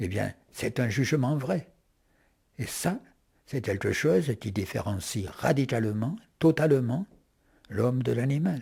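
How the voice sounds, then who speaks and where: On a very clean recording with a silent background, a man with a dark, mellow tone and medium pitch speaks somewhat breathily at a fairly slow pace, with lively intonation and long, frequent pauses. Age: 80s+. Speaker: philosopher. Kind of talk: interview. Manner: halting.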